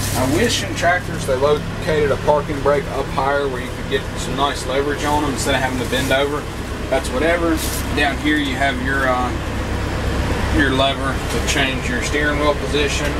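Loud background noise behind speech at a moderate pace. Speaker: tractor owner. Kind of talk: casual review walkthrough. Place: farm machine. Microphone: phone near.

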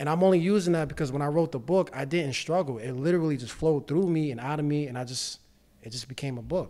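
Speaking at a very fast pace, a man with a fairly high pitch and a dark, mellow tone shows ordinary pitch variation and big swings in loudness. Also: quiet background. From New York City (Bronx). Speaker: real estate investor and financial literacy educator. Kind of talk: casual chat. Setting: studio. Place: studio. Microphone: studio mic.

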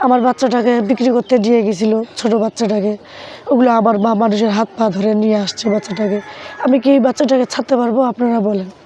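Noticeable background noise sits behind the speaker. She is a woman with fairly high pitch and fairly even intonation. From Bangladesh, Thakurgaon. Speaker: farm worker, single mother. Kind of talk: interview testimony. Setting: on camera at a farm. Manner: halting.

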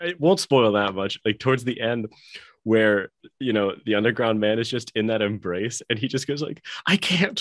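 Behind a quiet background, a man's speech moves along at a moderate pace. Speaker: podcast co-host. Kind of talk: casual discussion. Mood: amused, laughing. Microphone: video call.

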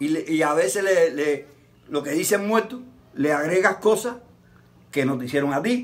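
The delivery has lively intonation at a moderate pace. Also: man. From Cuba. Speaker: santero. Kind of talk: interview. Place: garden. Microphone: camera far.

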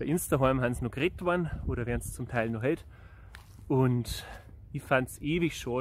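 In a Bavarian accent, a man talks at a moderate pace with ordinary pitch variation, and the sound is dry with no echo. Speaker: singer-songwriter. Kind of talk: casual talk to camera. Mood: cheerful, friendly. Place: open country. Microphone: phone near.

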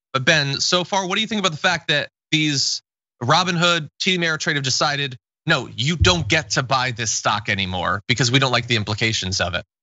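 Speaking at a fairly high pitch, a man swings his pitch very widely and lets vocal fry creep in. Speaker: political news show host. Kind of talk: political news commentary.

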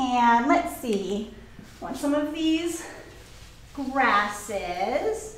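Very slow American-accented speech with long, frequent pauses, very wide pitch swings and audible room echo. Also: woman, high pitch for a woman. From Orange County, California; California. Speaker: floral design teacher. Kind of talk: live tutorial. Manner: animated. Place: studio.

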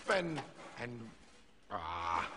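A man speaks very slowly in a cartoonish character voice, his pitch fairly low and swinging widely. The tone is bright and sharp, with faint noise in the background.

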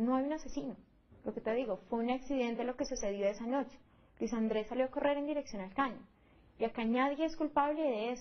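Very fast speech with ordinary pitch variation over light background noise. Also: woman, high pitch for a woman. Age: 20s. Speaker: defendant in a criminal case; interviewee. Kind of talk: interview testimony. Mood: serious, defensive. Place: home room. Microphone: lapel.

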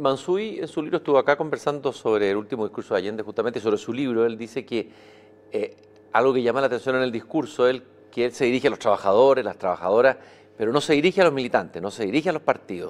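A man's very fast delivery with lively intonation. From Chile. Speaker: interviewer. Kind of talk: interview. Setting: live event in a hall. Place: stage. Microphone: lapel.

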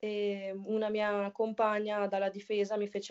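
Quiet surroundings and a woman's voice. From northern Italy. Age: 20s. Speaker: women's footballer. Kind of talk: casual interview. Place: home room. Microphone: video call.

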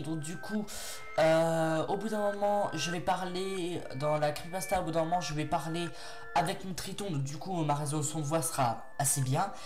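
Over clear background music, a man speaks fairly slowly in a high voice. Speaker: creepypasta narrator. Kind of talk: casual talk to audience. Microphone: headset.

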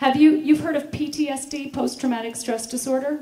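With an American accent, a woman speaks at a moderate pace in a high pitch with lively intonation, and audible room echo surrounds her voice. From United States. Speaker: speaker on veganism; speaker. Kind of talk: conference talk. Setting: stage with audience. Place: stage. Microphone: handheld.

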